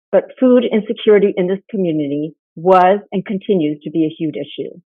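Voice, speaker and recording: Here a woman talks at a fairly quick pace and a medium pitch. Her intonation is lively. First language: Spanish. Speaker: nonprofit founder. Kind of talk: conference presentation. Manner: formal.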